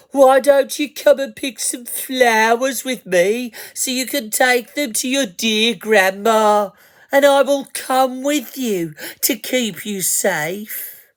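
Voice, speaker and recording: A female-sounding, put-on character voice, high-pitched for a woman, at a fairly slow pace. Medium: read story. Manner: overly sweet, charming.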